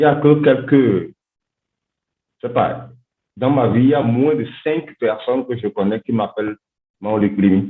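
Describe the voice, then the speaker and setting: A man with a medium pitch and ordinary pitch variation speaks with long, frequent pauses. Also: fairly slow pace. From Benin. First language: a Gbe language of Benin (speaking French). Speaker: linguistics doctoral student. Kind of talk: podcast interview. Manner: halting, repeats words.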